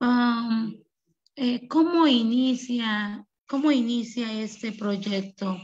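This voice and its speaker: Very slowly, a woman speaks in a fairly high pitch with ordinary pitch variation. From La Chinantla, Oaxaca, Mexico; Oaxaca, Mexico. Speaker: rural school teacher and principal; teacher presenting school project. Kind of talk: presentation. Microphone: video call.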